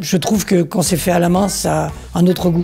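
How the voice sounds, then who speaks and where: There is music in the background. Over it, a man talks with a high pitch. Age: 60s. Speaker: tennis instructor retraining as cook. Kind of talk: testimonial interview.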